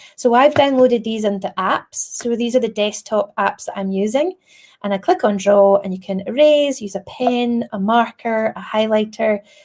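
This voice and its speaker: A woman speaks in a Scottish accent at fairly high pitch. Her pitch varies in an ordinary way. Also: moderate pace. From Scotland. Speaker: primary school teacher. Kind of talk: tutorial. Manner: animated.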